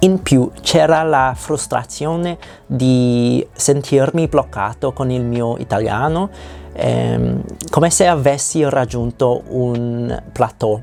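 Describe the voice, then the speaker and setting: A man with a non-native accent and a medium pitch at a very slow pace with lively intonation, music in the background. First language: not Italian (speaking Italian). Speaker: language learner vlogger. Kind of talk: reading a personal script aloud. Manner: halting.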